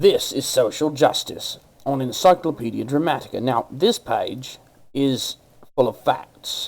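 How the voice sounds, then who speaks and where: A man puts on a gravelly character voice pitched fairly high. He talks at a moderate pace. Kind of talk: announcer-like presenter.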